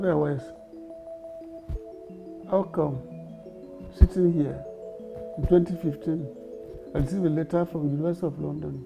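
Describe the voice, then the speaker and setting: Ordinary pitch variation and a fairly quick pace, broken by long, frequent pauses, over clear background music. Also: man, fairly high pitch for a man. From Nigeria. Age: 80s+. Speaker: senior advocate, university founder; interviewee, elder lawyer. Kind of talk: interview answer. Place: office.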